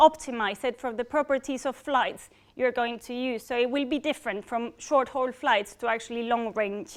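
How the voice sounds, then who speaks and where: A woman speaks with a Spanish accent. Her pace is moderate and her pitch variation ordinary. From Spain. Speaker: engineering program manager. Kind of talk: public talk. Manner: halting.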